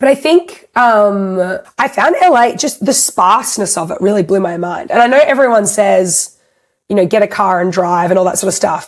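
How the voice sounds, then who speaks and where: In an Australian accent, a woman speaks at a moderate pace and a medium pitch, her tone animated and her intonation lively. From Australia (Melbourne). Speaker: singer-songwriter. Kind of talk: interview.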